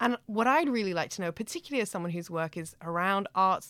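In a very clean recording with a silent background, a woman of medium pitch speaks with a slight North American accent and ordinary pitch variation. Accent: slight North American twang. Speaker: podcast host, lecturer. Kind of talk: interview.

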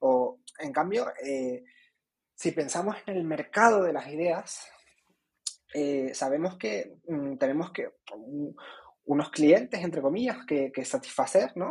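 A man with a fairly high pitch and lively intonation talks at a very slow pace. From Canary Islands (Tenerife). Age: 20s. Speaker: student organization representative. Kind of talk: interview. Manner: halting, many fillers and repetitions.

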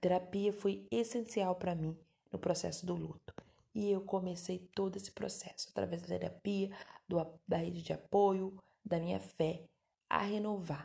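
The voice is somewhat breathy with a dark, mellow tone. It keeps a moderate pace and fairly even intonation. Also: woman, medium pitch for a woman. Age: 30s. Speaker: podcast host, adoptive mother. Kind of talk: personal testimony. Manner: halting, self-correcting.

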